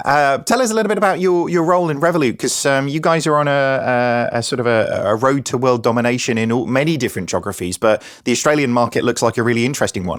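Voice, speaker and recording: A man talks at a very fast pace with hardly any pauses, at a medium pitch with lively intonation. His loudness stays very even, and the recording is very clean with a silent background. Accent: Norwich. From England, Norwich. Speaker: podcast host. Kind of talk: podcast panel introductions.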